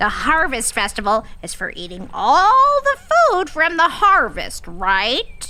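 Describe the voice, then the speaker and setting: A woman speaks in a put-on character voice at an extremely high pitch, going at a fairly slow pace with hardly any pauses over light background noise. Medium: read story. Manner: bright, naive.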